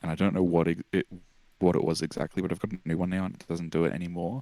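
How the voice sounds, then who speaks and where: With an Australian accent, a man speaks at a very deep, low pitch with ordinary pitch variation. The recording is very clean, with a silent background. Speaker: musician. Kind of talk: casual chat. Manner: halting, many fillers and restarts.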